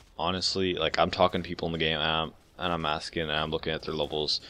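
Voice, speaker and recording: This man has a very deep, low pitch and a bright, sharp tone. He mumbles in a monotone, flat intonation. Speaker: gaming commentator. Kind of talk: post-game commentary. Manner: mumbling; hesitant, many fillers.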